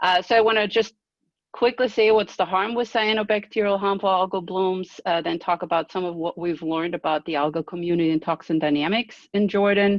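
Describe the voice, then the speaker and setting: A woman speaks with an Austrian accent and ordinary pitch variation. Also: medium pitch for a woman, fairly quick pace. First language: German. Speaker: marine scientist professor. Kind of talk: webinar presentation. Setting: video call. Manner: hesitant with many fillers.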